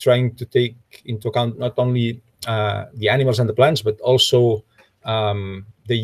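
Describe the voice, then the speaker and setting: Somewhat breathy and monotone with flat intonation, a man talks at a moderate pace with long, frequent pauses over a quiet background. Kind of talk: lecture. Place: home room. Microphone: webcam.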